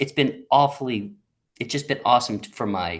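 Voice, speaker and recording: The voice has lively intonation. It carries an American accent. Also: man. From US, Southern Maryland. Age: 60s. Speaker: accountant, retired firm leader. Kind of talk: interview conversation. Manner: halting, many repetitions.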